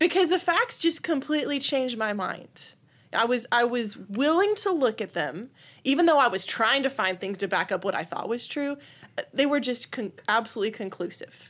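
Spoken at a moderate pace with an American accent, the voice swings very widely in pitch over a very clean recording with a silent background. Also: woman, high pitch for a woman. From Texas, Austin area. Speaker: gun rights activist. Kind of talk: interview.

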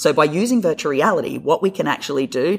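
At a fairly quick pace, a man with an Australian accent speaks with lively intonation. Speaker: physiotherapist. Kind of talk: interview.

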